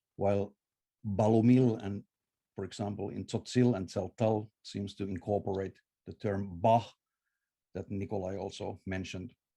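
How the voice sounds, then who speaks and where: Long, frequent pauses from a man with a Finnish accent, his dark, mellow voice fairly low and monotone, with flat intonation. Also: moderate pace. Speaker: scholar of Maya languages. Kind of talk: conference lecture. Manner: halting, many filler uhs.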